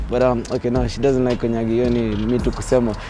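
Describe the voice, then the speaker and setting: A man is heard in a dry sound with no echo, faint music playing in the background. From Kenya. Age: 20s. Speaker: YouTuber. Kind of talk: casual vlog. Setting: outdoors. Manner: animated. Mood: playful, joking. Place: street.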